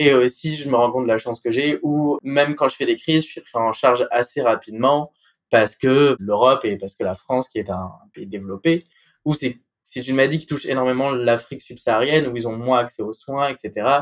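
Loudness swings widely as a man speaks fairly quickly at a medium pitch with ordinary pitch variation. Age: 20s. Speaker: patient with sickle cell disease, law graduate. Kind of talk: personal testimony. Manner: hesitant, with fillers.

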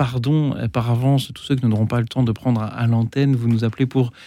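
A man's medium-pitched voice, dark and mellow in tone, with fairly even intonation at a moderate pace. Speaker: radio host. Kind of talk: live radio talk show with callers. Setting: studio.

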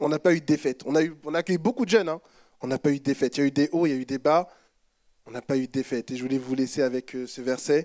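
Recorded with a dry, close sound and no echo, a man speaks at a very fast pace with a fairly high pitch. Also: ordinary pitch variation. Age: 20s. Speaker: church member. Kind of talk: testimony.

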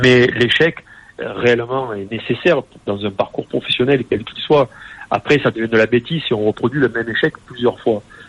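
Against noticeable background noise, a man at medium pitch talks with fairly even intonation, the sound dry and close with no echo. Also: moderate pace. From southern France, Nîmes. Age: 40s. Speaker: entrepreneur and handball club president. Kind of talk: radio interview.

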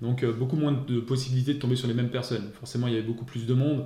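Audible room echo follows a man who talks at a very fast pace with a medium pitch and monotone, flat intonation. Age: 40s. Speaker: police officer. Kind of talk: interview.

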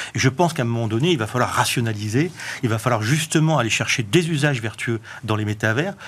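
A man speaks at medium pitch at a moderate pace. He has an ordinary speaking voice. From southwestern France. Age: 50s. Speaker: author and tech entrepreneur. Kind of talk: TV panel interview. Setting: studio.

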